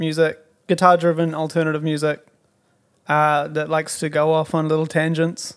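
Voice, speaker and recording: The man talks at a moderate pace with a fairly high pitch. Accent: New Zealand. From New Zealand (Timaru). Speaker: drummer. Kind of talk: casual chat.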